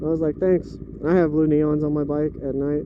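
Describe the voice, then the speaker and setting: Noticeable background noise fills this recording. Through it, a man talks at a fairly high pitch. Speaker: motorcycle vlogger. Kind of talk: casual motovlog narration while riding.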